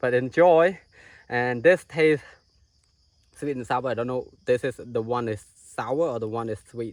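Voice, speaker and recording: Speaking with a Cambodian accent, a man leaves long, frequent pauses and uses ordinary pitch variation. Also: medium pitch for a man, fairly slow pace, very clean recording, silent background. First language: Khmer. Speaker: outdoor tour guide and vlogger. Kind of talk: outdoor vlog narration. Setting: outdoors in rainforest.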